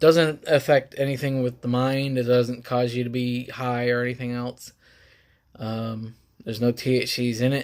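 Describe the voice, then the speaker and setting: This man talks at a moderate pace in a medium pitch. His intonation stays monotone and flat. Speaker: health vlogger. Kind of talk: casual talk to camera. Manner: halting.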